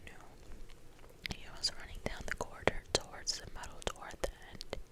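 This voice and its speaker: Over noticeable background noise, a whispered voice moves along rather slowly. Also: woman. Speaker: ASMR reader / whisper channel host. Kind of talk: ASMR book reading. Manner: whispered, soft.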